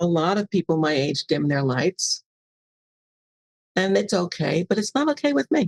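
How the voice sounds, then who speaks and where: A woman with an American accent speaks at a moderate pace and a fairly low pitch, with very wide pitch swings and very even loudness. Long, frequent pauses break her speech, and the sound is dry and close with no echo. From New York City. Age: 80s+. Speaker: author and publisher. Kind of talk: podcast interview. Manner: halting.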